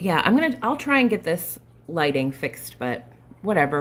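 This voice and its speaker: Loud and fairly slow, a woman speaks at a medium pitch. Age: 40s. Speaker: flosstube cross-stitch vlogger. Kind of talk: casual live stream chat. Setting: live video stream, not at home. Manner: mumbles sometimes; trying to talk loud.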